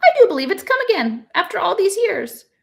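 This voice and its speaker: Putting on a squeaky character voice at extremely high pitch, a woman talks at a fairly quick pace with very wide pitch swings. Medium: read story. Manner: brisk, tart.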